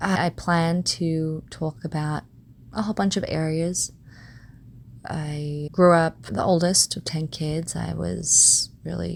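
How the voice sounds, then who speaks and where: A soft-spoken woman is talking. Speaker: podcast host. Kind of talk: personal reflective monologue.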